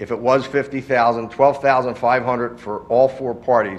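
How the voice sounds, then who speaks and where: Here is a man with an unremarkable speaking voice. He speaks at medium pitch and a fairly quick pace. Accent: American. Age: 60s. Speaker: nursery owner addressing a township board. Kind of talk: public comment at a municipal meeting. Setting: township board meeting room.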